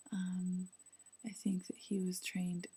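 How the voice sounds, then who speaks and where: A woman speaks at a moderate pace in a medium pitch, somewhat breathy with a dark, mellow tone. Her intonation stays monotone and flat. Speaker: law student video blogger. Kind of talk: video diary. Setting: apartment at night. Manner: speaking quietly; hesitant, many fillers.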